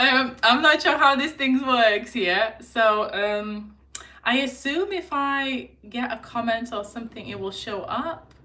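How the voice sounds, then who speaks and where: A woman's high voice in a Lithuanian accent, fairly slow, with ordinary pitch variation and big swings in loudness. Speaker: lifestyle vlogger. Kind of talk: casual chat. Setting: live stream at home. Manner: hesitant.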